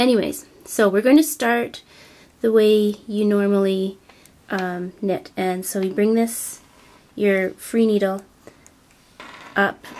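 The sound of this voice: This woman talks slowly in a medium pitch, sounding nasal with a slightly mellow tone and fairly even intonation.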